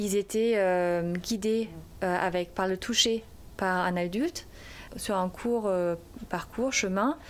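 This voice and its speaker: A woman speaks at a very slow pace with very even loudness. The recording is very clean, with a silent background. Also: medium pitch for a woman, ordinary pitch variation. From Germany. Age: 30s. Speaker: primary school teacher. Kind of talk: interview testimony. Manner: halting.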